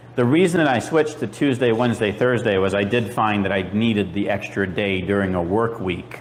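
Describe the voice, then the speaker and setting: Amid noticeable background noise, a man with a fairly low voice talks at a fairly quick pace with hardly any pauses and ordinary pitch variation. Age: 50s. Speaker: mobile shear sharpener. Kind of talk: conference presentation. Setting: stage with audience.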